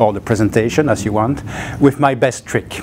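The voice belongs to a man. Pitch rises and falls in an ordinary way. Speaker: presenter. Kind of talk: lecture. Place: hall. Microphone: lapel.

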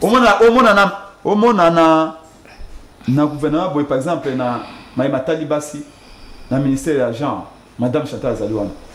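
Speaking at a fairly slow pace with long, frequent pauses, a man uses lively intonation and a fairly high pitch amid audible room echo. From DR Congo. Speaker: campaign communications director; talk show guest. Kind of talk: political talk show. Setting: TV studio. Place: studio.

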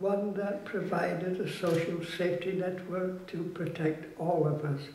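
Against light background noise and audible room echo, a man talks at a fairly slow pace with a high pitch. His intonation stays fairly even. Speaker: war veteran; activist. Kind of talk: public speech. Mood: solemn, reflective. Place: hall. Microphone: podium.

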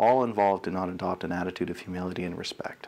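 Talking at a very fast pace with a Canadian accent, a man uses ordinary pitch variation. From Canada. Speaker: guest lecturer. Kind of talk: lecture. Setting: stage with audience. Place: hall.

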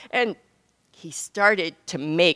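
A woman speaks in a bright, sharp tone. The background is quiet. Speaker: physician and author speaking at conference. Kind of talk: conference keynote talk. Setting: stage with audience. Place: hall. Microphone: podium.

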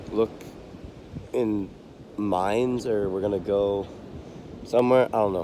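A man speaks at a fairly slow pace with fairly low pitch and fairly even intonation. The sound is dry with no echo, over light background noise. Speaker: vlogger. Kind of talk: casual vlog chat. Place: beach. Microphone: phone near.

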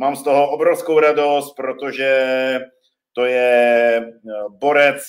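A man talks in a monotone, flat intonation with a quiet background behind him. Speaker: gym coach hosting online training. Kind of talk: live stream host introduction. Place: home room. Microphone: webcam.

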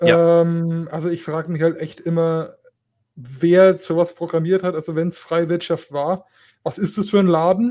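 A man's high-pitched voice, dark, mellow tone, fairly even intonation, moderate pace. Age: 20s. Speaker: tech podcast co-host, apprentice. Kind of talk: casual chat.

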